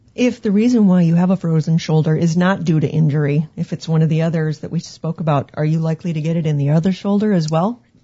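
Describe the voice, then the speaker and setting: At a very fast pace with hardly any pauses, a woman speaks in a fairly low, somewhat breathy voice with ordinary pitch variation. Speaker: radio co-host. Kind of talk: scripted narration. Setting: studio.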